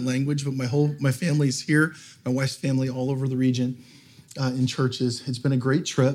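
This man's medium-pitched voice holds a flat, monotone intonation at a fairly quick pace. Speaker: guest pastor. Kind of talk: sermon. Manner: halting, many fillers.

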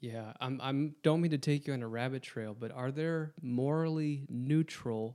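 A man talks at a fairly slow pace with hardly any pauses, his medium-pitched voice dark and mellow in tone. His pitch varies in an ordinary way, and the recording is very clean with a silent background. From Wisconsin. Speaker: guest interviewer, Bible college staff. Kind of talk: casual Bible study discussion.

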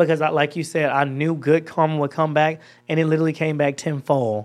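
A man with an American accent and a fairly high voice at a fairly quick pace, on a very clean recording with a silent background. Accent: Georgia Southern US, switches to it at home. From Georgia, US. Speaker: social media creator. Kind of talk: casual interview chat. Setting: studio. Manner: animated, playful.

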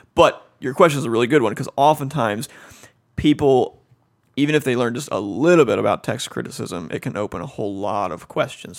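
Very fast speech with an American accent, very wide pitch swings, vocal fry and big swings in loudness. The recording is very clean, with a silent background. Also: man. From Cincinnati, Ohio. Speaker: seminary professor. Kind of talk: casual interview.

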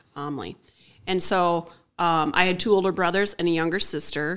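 On a very clean recording with a silent background, an unremarkable speaking voice shows ordinary pitch variation. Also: woman. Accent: American. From Minnesota, Willmar area. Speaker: technology campus manager. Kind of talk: casual interview chat.

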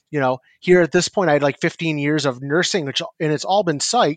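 In a plain, everyday voice with an American accent, the speaker shows ordinary pitch variation in a dry, close sound with no echo. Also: man. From northern New York, near Canadian border. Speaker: psychiatric nurse practitioner. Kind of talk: podcast interview.

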